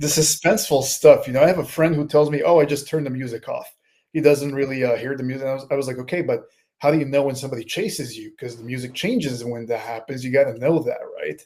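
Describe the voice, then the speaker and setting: A man with a non-native accent talks at a very fast pace, fairly high in pitch, with ordinary pitch variation. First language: not English. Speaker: horror author. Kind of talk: interview. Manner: halting, fumbling for words.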